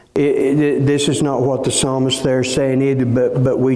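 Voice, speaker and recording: A man is speaking. Room echo can be heard in the recording. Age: 60s. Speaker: pastor. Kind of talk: sermon. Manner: halting.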